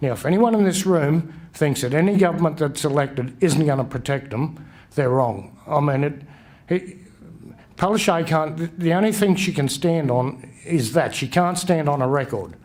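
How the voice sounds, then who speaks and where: A man with an Australian accent talks at a moderate pace, his fairly high pitch showing ordinary variation. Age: 60s. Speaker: election candidate. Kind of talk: campaign speech. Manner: halting.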